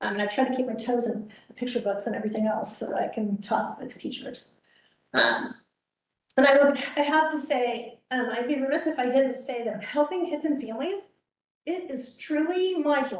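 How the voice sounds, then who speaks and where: A loud, high-pitched woman's voice with ordinary pitch variation. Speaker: children's librarian. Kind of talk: informal presentation at a public meeting. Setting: board meeting, livestreamed. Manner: fast; loud and vivacious.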